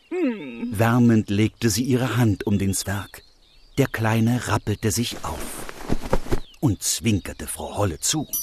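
A man speaks at a very slow pace in a calm, gentle tone, with long, frequent pauses and a medium pitch with ordinary variation. Music plays in the background, and the sound is dry and close with no echo. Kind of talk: fairy tale narration. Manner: calm, gentle storytelling pace.

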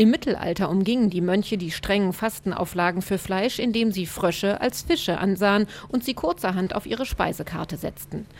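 A woman talks at a fairly quick pace with hardly any pauses, her medium pitch showing ordinary variation in an ordinary speaking voice. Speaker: radio reporter. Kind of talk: scripted narration.

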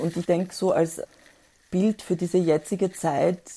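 A woman speaks at a fairly slow pace over a quiet background. Her pitch is fairly low and her intonation fairly even. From former Yugoslavia. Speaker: poet. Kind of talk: interview. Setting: video call.

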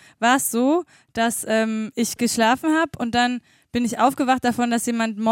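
The sound is dry and close, with no echo. A woman speaks at a moderate pace in a high voice with ordinary pitch variation. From eastern Germany, Schwedt/Oder. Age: 40s. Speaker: radio co-host. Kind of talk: casual chat.

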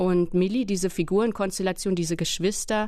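The voice is delivered in a monotone, flat intonation against a quiet background. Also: woman. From Berlin. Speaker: novelist and literary translator. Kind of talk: casual interview talk.

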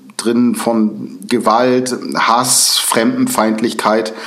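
A man, with audible room echo. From northern Germany, Lübeck. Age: 40s. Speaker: former neo-Nazi turned prevention speaker. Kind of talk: interview.

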